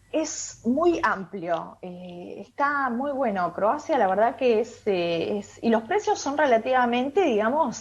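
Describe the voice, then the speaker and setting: Speaking at a very slow pace with an Argentine accent, a woman lets her pitch swing very widely. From Argentina. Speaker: tour guide. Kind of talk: radio interview. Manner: hesitant, many fillers.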